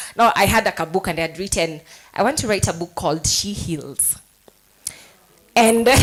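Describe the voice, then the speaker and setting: A woman speaks at a moderate pace and a medium pitch, her intonation lively, with long, frequent pauses. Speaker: life coach and author. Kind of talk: speech at book launch. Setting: hotel event with audience. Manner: loud.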